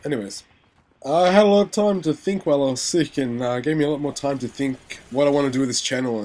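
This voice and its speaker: Over music in the background, a man with an Australian accent talks at a fairly quick pace and a fairly high pitch, with lively intonation. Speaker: gaming commentator. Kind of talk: gameplay commentary. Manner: casual, rambling with filler words.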